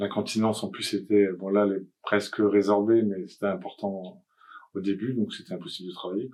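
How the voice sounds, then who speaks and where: A man with a fairly low voice speaks at a moderate pace in a flat, monotone delivery, his loudness swinging widely. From France, Nantes. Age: 60s. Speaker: cancer patient. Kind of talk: testimony. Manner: halting.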